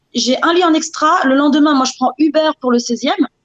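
The recording of this woman has a dry, close sound with no echo. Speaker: e-commerce entrepreneur. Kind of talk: interview. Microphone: frozen video connection.

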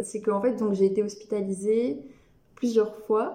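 Noticeable background noise under a fairly high-pitched female voice. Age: 20s. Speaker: person living with dissociative identity disorder. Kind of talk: interview testimony. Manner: halting. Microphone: poor sound quality.

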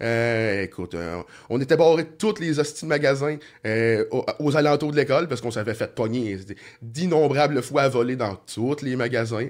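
Recorded very cleanly against a silent background, a man of medium pitch speaks in an ordinary speaking voice at a moderate pace with lively intonation. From Quebec, Sorel-Tracy area. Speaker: former criminal, asphalt business owner. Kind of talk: casual interview, life story.

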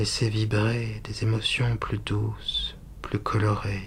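A gentle, soothing tone at a very slow pace over noticeable background noise. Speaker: hypnotherapist. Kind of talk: guided hypnosis meditation. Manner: slow, soothing, calm, hushed and hypnotic; gentle, steady, dreamy repetition.

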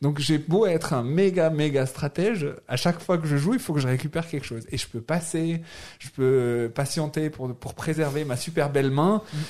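At a moderate pace, a man with a fairly high pitch uses a normal speaking voice with ordinary pitch variation. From Algeria, Algiers. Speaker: board game publisher. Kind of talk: casual chat. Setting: studio.

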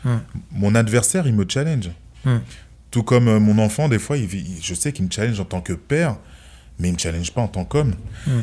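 Speaking at a fairly quick pace, a man uses lively intonation with long, frequent pauses. His voice is fairly low in pitch, with a dark, mellow tone. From France. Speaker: former kickboxing champion and entrepreneur. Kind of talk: interview. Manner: soft-spoken.

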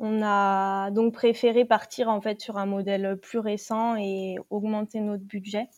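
At a very slow pace yet with hardly any pauses, a woman of medium pitch speaks in a monotone, flat intonation. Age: 20s. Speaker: mother planning a van trip. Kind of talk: interview. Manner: halting.

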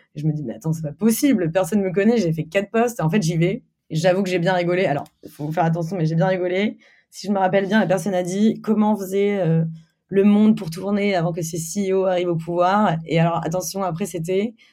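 A woman with a medium pitch and a dark, mellow tone speaks at a fairly quick pace in a very clean recording with a silent background. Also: ordinary pitch variation. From Normandy, France (Caen). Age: 20s. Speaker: company CEO. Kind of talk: interview. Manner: casual, hesitant with fillers.

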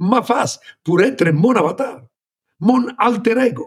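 A man with an Italian accent is speaking. His pace is very slow. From Italy. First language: Italian (speaking French). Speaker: former tech executive. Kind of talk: interview. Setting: remote from home.

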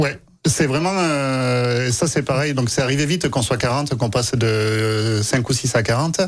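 A man with a southern French accent speaks at a fairly slow pace and medium pitch. His loudness stays very even. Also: ordinary pitch variation. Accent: southern French (Aveyron). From Aveyron, France. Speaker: baker and bakery owner. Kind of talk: casual radio interview. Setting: radio studio.

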